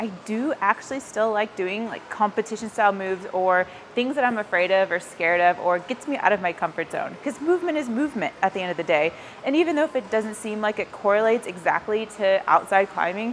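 Light background noise behind a woman talking at a fairly quick pace. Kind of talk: casual vlog explanation to camera. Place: gym. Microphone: lapel.

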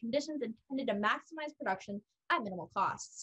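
Against a quiet background, a woman with a fairly high voice speaks at a very fast pace. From California. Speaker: college debater. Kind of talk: competitive debate. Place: home room. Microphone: webcam.

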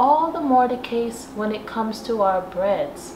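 A high-pitched woman's voice with ordinary pitch variation and noticeable background noise. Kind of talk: casual vlog chat. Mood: warm, nostalgic. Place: kitchen.

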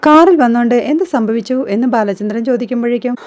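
A woman talks fast in a fairly high voice with a slightly mellow tone. Her pitch varies in an ordinary way.

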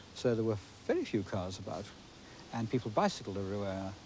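A man talks very fast at a fairly low pitch, monotone and flat. The sound is dry with no echo, over light background noise. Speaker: amateur filmmaker. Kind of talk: interview answer. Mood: gentle reminiscing. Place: open country.

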